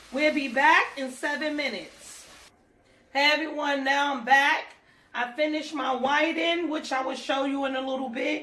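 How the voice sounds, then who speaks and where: Over audible room echo, a woman projects a raised voice at a high pitch, keeping a monotone, flat intonation at a moderate pace. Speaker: home cook. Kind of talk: tutorial.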